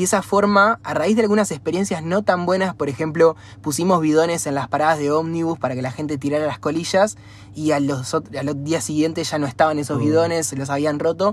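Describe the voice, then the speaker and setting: A man with a normal speaking voice talks at a fairly quick pace, his pitch fairly high. His pitch varies in an ordinary way. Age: 20s. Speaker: environmental NGO founder. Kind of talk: interview.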